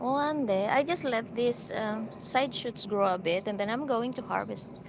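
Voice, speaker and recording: Lively intonation marks this woman's speech in a Filipino accent. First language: Filipino (Ilocano). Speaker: gardening vlogger. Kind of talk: live stream garden tour. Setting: outdoors in garden. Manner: casual, hesitant with fillers.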